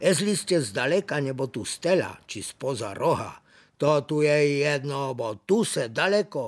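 A man with an Ostrava accent at a very slow pace, on a very clean recording with a silent background. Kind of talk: planetarium show narration. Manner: folksy, humorous.

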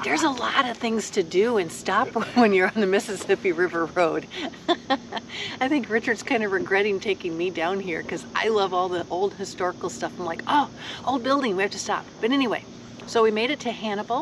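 A woman speaks at a fairly quick pace over noticeable background noise. The sound is dry, with no echo. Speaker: motorcycle travel vlogger. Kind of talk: casual vlog chat. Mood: cheerful, relaxed. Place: open country. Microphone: phone near.

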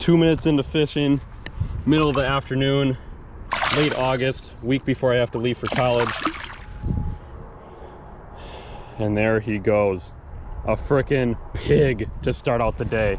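Man at a moderate pace with ordinary pitch variation, dry sound with no echo, noticeable background noise. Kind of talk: casual vlog chat. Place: waterside. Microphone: phone near.

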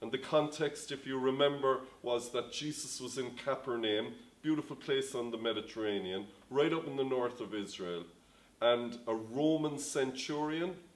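A man speaks at a moderate pace, his voice showing ordinary pitch variation. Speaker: pastor. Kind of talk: sermon. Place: home room.

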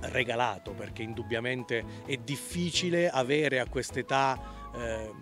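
Man's voice, dry with no echo, over clear background music. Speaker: interviewee. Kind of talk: interview answer. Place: garden. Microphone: handheld.

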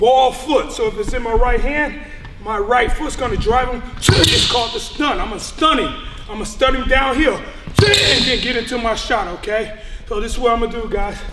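Loud background noise accompanies a man whose pitch varies in an ordinary way. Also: moderate pace. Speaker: basketball trainer. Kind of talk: tutorial. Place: gym.

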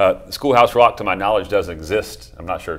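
A man over light background noise. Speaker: TV show host. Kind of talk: talk show host introduction. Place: studio. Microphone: lapel.

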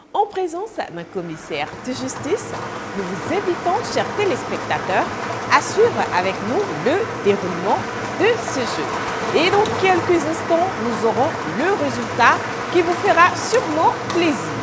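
With music in the background, a woman speaks very slowly, leaving long, frequent pauses. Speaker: TV presenter. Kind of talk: broadcast announcement. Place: studio.

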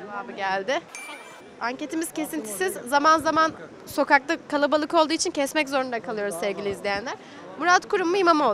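A woman with a high voice speaks at a fairly quick pace, her pitch swinging very widely. Her loudness rises and falls sharply over light background noise. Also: dry sound with no echo. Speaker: street interviewer. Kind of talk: street interviews. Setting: outdoors on the street. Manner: fast. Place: street. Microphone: handheld.

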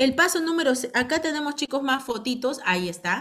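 A woman talks at a fairly quick pace. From Peru, provinces outside Lima. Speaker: direct sales team leader. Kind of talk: online business training meeting. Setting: video call. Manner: animated.

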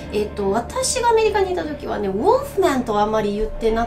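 Over clear background music, a woman speaks at a moderate pace. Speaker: English teacher. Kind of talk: casual lesson talk to camera. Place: classroom.

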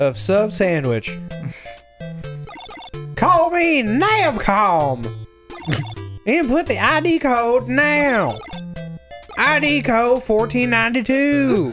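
A put-on character voice, fairly high in pitch, moves at a very slow pace over clear music in the background. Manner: robotic, artificial.

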